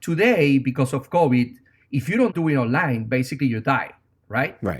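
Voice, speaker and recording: A man with a Venezuelan accent speaks fairly quickly in a fairly high, somewhat breathy voice on a very clean recording with a silent background. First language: Spanish. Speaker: tech startup founder. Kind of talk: interview.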